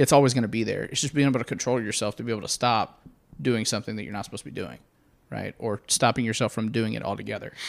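With an American accent, a man talks very fast at a medium pitch, with vocal fry and fairly even intonation. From North Texas. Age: 30s. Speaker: sheriff's deputy. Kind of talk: casual interview.

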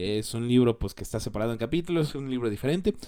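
At a very fast pace, a man speaks with a dark, mellow tone and ordinary pitch variation. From Mexico. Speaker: podcast host. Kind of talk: solo podcast commentary. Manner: hesitant, many fillers.

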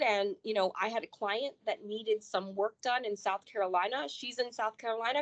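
A woman with a plain, everyday voice, fairly high in pitch, talks at a moderate pace with ordinary pitch variation in a dry, close sound with no echo. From Florida east coast (Port St. Lucie), born in Chicago. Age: 40s. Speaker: estate planning attorney, sorority alumna adviser. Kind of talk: casual interview chat.

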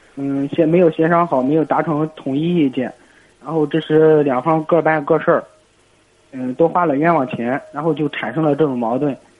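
A man speaks in a plain, everyday voice, pitched fairly high. His intonation stays fairly even at a moderate pace. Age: 20s. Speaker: caller. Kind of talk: call-in conversation.

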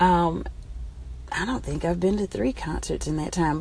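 A woman is talking. There is noticeable background noise. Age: 40s. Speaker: radio host. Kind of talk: casual chat. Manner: halting.

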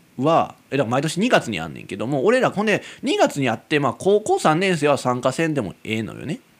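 On a very clean recording with a silent background, a man speaks in a Kansai accent at a fairly high pitch with very wide pitch swings. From Kansai, Japan. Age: 20s. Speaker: amateur radio-style podcaster. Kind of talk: solo casual monologue. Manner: rambling, filler-heavy, frequent laughs.

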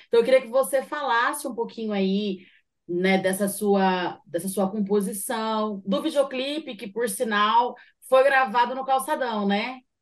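A woman at a fairly slow pace, fairly high in pitch with ordinary variation, in an ordinary speaking voice. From São José dos Campos, Vale do Paraíba, Brazil. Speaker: radio show host and rapper. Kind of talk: casual interview chat.

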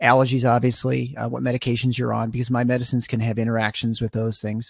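A man with a Midwestern American accent talks at a very fast pace, medium in pitch. His intonation is monotone and flat, over a quiet background. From Michigan, US Midwest. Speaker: anesthesiologist and podcast host. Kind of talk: casual interview.

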